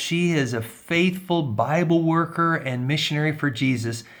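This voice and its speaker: The man has a plain, everyday voice, fairly high in pitch, with ordinary pitch variation and a moderate pace. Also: hardly any pauses, very even loudness. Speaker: interviewer. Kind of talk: interview questions.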